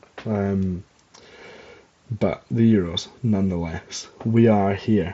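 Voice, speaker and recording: With a Scottish accent, the speaker goes at a very slow pace and fairly even intonation. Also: man, fairly low pitch for a man. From Scotland. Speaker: podcast host. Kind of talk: casual chat. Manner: rambling with many fillers and hesitations. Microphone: not using usual mic, old one broken.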